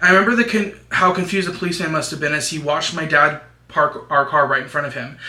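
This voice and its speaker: Noticeable background noise runs under a man's voice. He talks very fast at a fairly high pitch, with ordinary pitch variation. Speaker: YouTuber. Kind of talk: reading horror story aloud.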